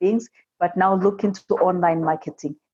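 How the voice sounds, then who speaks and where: A woman speaks with an African accent. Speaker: immigrant entrepreneur and seminar speaker. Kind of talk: podcast interview.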